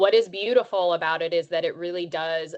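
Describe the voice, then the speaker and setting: Her voice fairly low in pitch, a woman with an American accent uses a plain, everyday voice with ordinary pitch variation. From western Maryland. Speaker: childcare nonprofit leader. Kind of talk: online presentation.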